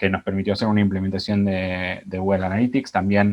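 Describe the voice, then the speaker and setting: Speaking in an Argentine accent, a man uses a fairly low voice. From Argentina. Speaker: digital marketing strategist; webinar presenter. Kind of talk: presentation. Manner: hesitant, many fillers. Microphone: earbuds.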